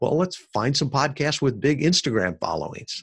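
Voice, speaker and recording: A man's medium-pitched voice with an American accent, lively intonation and a moderate pace, on a very clean recording with a silent background. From US Midwest, Chicago suburbs. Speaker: podcast marketing entrepreneur, Navy veteran. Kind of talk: podcast interview.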